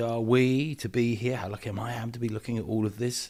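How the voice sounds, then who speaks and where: A man talks with a West Country accent and a medium pitch. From southwest England (Devon, edge of Dartmoor). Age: 60s. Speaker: environmental activist. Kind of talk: interview. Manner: hesitant, many fillers.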